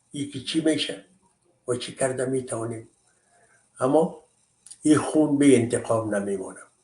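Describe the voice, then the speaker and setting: A man with an Afghan accent, a medium pitch and a dark, mellow tone, somewhat breathy, with ordinary pitch variation, big swings in loudness and long, frequent pauses. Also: moderate pace. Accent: Afghan Dari. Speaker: commentator. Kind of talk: monologue commentary. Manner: impassioned.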